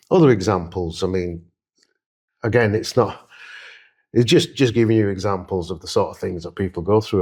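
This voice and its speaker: The speaker has a Yorkshire accent and a fairly quick pace with ordinary pitch variation. It is a very clean recording with a silent background. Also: man, big swings in loudness. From Leeds, northern England. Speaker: interviewee. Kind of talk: interview; personal testimony. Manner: hesitant, many fillers.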